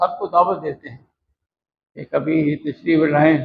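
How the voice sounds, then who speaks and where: The man has a plain, everyday voice with a fairly high pitch. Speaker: school director and professor giving a speech at a ceremony. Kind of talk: formal ceremony speech about education.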